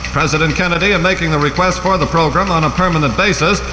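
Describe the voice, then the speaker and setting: Very fast speech from a man with a high pitch and fairly even intonation, over noticeable background noise. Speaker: radio newsreader. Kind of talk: radio newscast.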